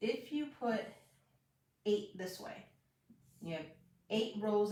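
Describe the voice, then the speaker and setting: Speaking at a very slow pace, a woman with a medium-pitched, somewhat breathy voice is heard with audible room echo. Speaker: math teacher giving online lessons. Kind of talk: live-streamed tutorial. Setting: live stream.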